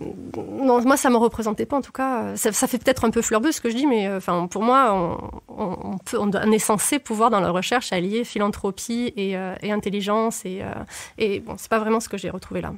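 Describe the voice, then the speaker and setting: A woman has an ordinary speaking voice, pitched fairly high, with ordinary pitch variation. She keeps a moderate pace, and her loudness swings widely. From southern France. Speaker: former researcher. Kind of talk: interview. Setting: studio.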